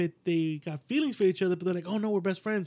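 A man speaks in an animated tone. His pitch is high. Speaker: podcast host. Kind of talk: casual banter, comedic chat. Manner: animated, joking, profane.

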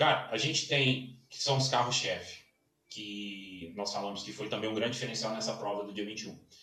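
A man's fairly low voice at a moderate pace, fairly even in intonation, with audible room echo. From Minas Gerais, Brazil (Belo Horizonte). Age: 40s. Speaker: sports consultant and event organizer. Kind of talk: casual interview. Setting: home office.

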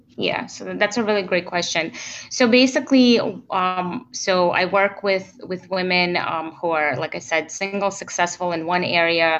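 A woman with an ordinary speaking voice talks at a moderate pace and a medium pitch, with ordinary pitch variation against a quiet background. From immigrated to the US in 1992. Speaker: relationship coach. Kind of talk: interview.

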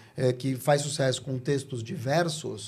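This man's voice carries a dark, mellow tone. A somewhat breathy quality runs through it. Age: 50s. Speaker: communication strategist and speaker. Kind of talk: casual interview.

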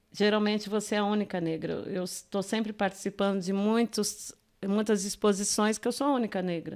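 Very clean recording, silent background, and a woman speaking at a medium pitch. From Minas Gerais, raised in São Paulo (Grajaú). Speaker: art educator and visual artist. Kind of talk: podcast interview.

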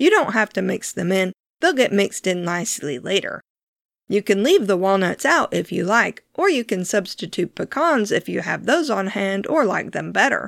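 A woman talks at a moderate pace with a calm tone, medium pitch, lively intonation and vocal fry. The recording is very clean with a silent background and a dry, close sound with no echo. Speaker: podcast host and home cook. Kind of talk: scripted-style instructional cooking podcast narration. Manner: calm, clear, soft-spoken.

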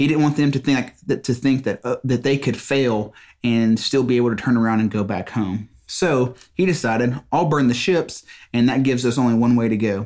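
On a very clean recording with a silent background, a man speaks in a Southern US accent at a very even loudness. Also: medium pitch for a man, ordinary pitch variation, fairly quick pace. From Mississippi. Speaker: business owner, podcast host. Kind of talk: solo podcast monologue. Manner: halting, many fillers and repeats.

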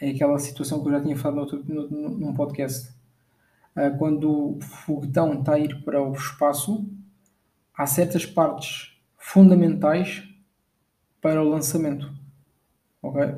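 Speaking with a European Portuguese accent in a somewhat breathy, fairly high voice with a dark, mellow tone, a man moves at a fairly slow pace with fairly even intonation and long, frequent pauses amid audible room echo. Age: 20s. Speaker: podcast host. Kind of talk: motivational monologue. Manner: halting, many fillers.

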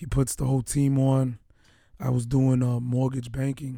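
A somewhat breathy, dark, mellow male voice at a medium pitch, in an American accent, with monotone, flat intonation. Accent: Dominican-tinged New York. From Bronx, New York, Dominican background. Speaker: podcast co-host, police detective. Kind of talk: casual chat.

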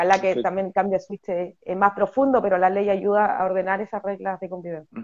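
Talking at a very fast pace, a woman uses medium pitch and fairly even intonation, with big swings in loudness. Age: 30s. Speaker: politician, parliamentary candidate. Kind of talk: interview.

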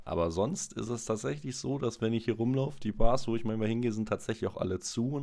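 A man speaks at a fairly quick pace in a dark, mellow tone. Vocal fry runs through his voice. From Freiburg, southwest Germany. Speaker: podcast guest. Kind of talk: casual chat.

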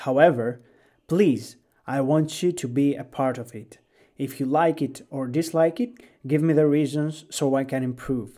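With a Greek accent, the speaker has a dark, mellow tone and ordinary pitch variation, talking at a moderate pace in a very clean recording with a silent background. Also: man, fairly high pitch for a man. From Greece. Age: 20s. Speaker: gaming podcaster. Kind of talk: podcast monologue.

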